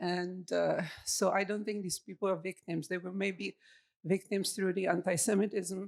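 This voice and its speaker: At a moderate pace, a woman with medium pitch speaks in a monotone, flat way with vocal fry, in a dry, close sound with no echo. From Czechoslovakia. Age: 60s. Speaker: audience member. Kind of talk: audience question.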